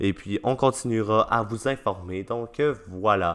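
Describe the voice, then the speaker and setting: A man with a Quebec accent and lively intonation. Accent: Québécois French. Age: young. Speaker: podcast host. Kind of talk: podcast outro monologue. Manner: hesitant, many fillers.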